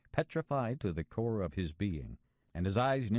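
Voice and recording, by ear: In a natural voice, a text is read aloud with lively intonation.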